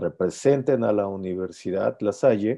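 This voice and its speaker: A man's fairly low-pitched voice with a dark, mellow tone, at a fairly slow pace over a quiet background. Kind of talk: informational presentation. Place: home room. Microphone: earbuds.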